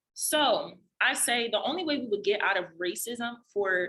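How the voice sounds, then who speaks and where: Pitched fairly high and with very wide swings, a woman's bright, sharp voice comes through in a New Jersey accent. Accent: New Jersey American English. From Trenton, New Jersey. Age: 20s. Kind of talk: podcast interview answer.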